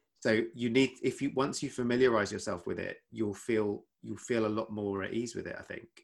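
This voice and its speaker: With a southern English accent, a man speaks at a medium pitch and a moderate pace, keeping fairly even intonation and hardly any pauses. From Essex, England. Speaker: doctor and podcaster. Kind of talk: casual chat.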